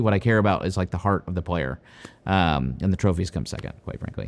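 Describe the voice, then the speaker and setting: The speaker is a man. He talks with a Midwestern American accent. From US Midwest, Ohio. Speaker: golf coach. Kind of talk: interview answers.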